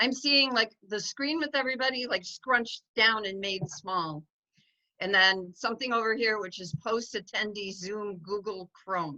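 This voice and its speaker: A woman speaks loud, with a fairly high pitch. Her tone is bright and sharp, and her intonation is lively. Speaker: dog sanctuary founder. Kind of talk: online informational meeting. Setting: video call. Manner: fast.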